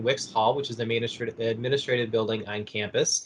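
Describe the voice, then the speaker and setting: The man talks at a very fast pace. Noticeable background noise accompanies him. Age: 20s. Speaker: university academic advisor. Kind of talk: casual interview.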